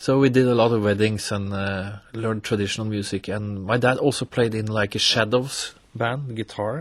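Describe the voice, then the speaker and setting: Talking at a moderate pace, a man with a Norwegian accent has a fairly low pitch and fairly even intonation. The recording is very clean, with a silent background. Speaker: accordionist, musician. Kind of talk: radio interview. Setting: radio studio.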